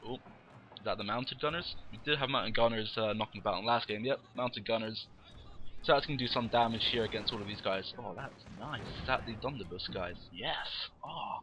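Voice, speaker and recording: A man speaks fairly quickly while music is heard in the background. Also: medium pitch for a man, ordinary pitch variation. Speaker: game commentator. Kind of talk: live commentary. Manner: loud; animated.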